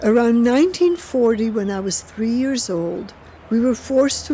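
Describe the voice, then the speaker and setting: A woman talks at a fairly slow pace in a fairly high pitch with ordinary pitch variation. Noticeable background noise is present. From Poland. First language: Polish. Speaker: Holocaust survivor. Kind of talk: personal testimony.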